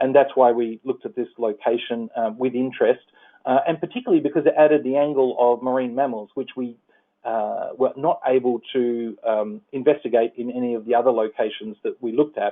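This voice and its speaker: In an Australian accent, a man talks at a medium pitch with ordinary pitch variation and a fairly quick pace. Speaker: environmental policy advisor. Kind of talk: presentation. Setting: phone call. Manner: halting, many fillers.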